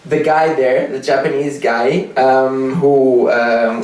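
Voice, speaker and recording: With a Portuguese accent, a man speaks at a fairly high pitch amid noticeable background noise and audible room echo. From Portugal. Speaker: storyteller. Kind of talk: live storytelling. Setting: stage with audience. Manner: halting, many fillers.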